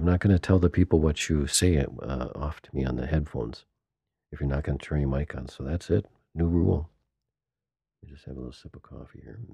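A man with a very deep, low, somewhat breathy voice and a dark, mellow tone races along at a very fast pace with big swings in loudness, the sound dry and close with no echo. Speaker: podcast host and band musician. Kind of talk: casual chat. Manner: animated.

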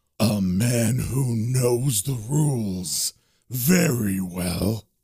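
Putting on a character voice, a man speaks at a very slow pace in a medium pitch. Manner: sneering.

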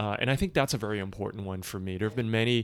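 A man with a fairly low pitch speaks at a very fast pace with fairly even intonation. The recording is very clean, with a silent background. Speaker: tech founder and investor. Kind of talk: casual interview chat.

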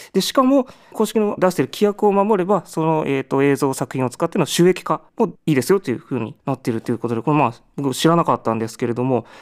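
Very wide pitch swings mark a man's very fast speech at a fairly high pitch. The recording is very clean, with a silent background and a dry, close sound with no echo. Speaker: musician. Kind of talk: radio-style music show talk. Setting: studio. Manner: hesitant with many fillers.

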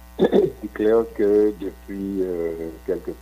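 A dark, mellow tone with very wide pitch swings. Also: man. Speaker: economist and professor. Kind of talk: radio interview.

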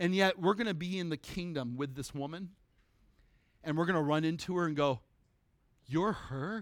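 Speaking in an animated tone at a high pitch, a man keeps a moderate pace with ordinary pitch variation and long, frequent pauses. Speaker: preacher. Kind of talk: sermon. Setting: church. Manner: conversational.

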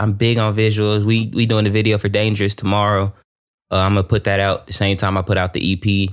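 In an American accent, the speaker talks at a fairly quick pace with monotone, flat intonation on a very clean recording with a silent background. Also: man, fairly low pitch for a man. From San Antonio, Texas. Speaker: musician. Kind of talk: casual chat.

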